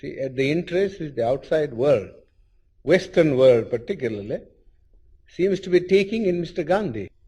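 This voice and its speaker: A man with a fairly high voice, a dark, mellow tone and vocal fry speaks at a moderate pace. His pitch swings very widely, and he leaves long, frequent pauses. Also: big swings in loudness. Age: 60s. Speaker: scholar and political leader. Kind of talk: interview answer.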